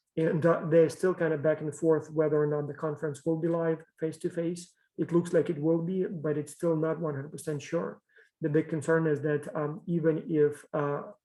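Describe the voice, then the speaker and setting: With a non-native accent, the speaker talks fairly quickly in a dark, mellow tone with monotone, flat intonation. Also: man. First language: not English. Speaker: professor. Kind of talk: lecture. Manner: halting.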